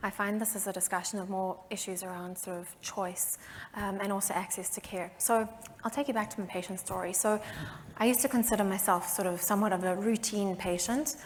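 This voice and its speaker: A woman with a South African accent at a fairly quick pace. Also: medium pitch for a woman, fairly even intonation. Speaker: patient advocate. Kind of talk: panel discussion.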